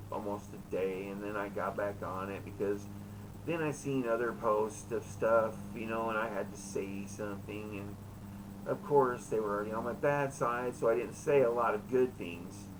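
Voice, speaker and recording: Audible room echo surrounds a man whose voice sits fairly low. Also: ordinary pitch variation. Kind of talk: casual monologue in a live chat room. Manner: fast; halting, with many fillers.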